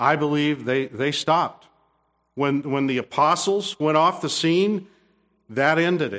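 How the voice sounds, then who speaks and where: On a very clean recording with a silent background, a man with an American accent and an unremarkable speaking voice talks at a fairly slow pace, with a fairly high pitch and ordinary pitch variation. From Kansas, US (Topeka). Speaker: pastor. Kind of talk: sermon.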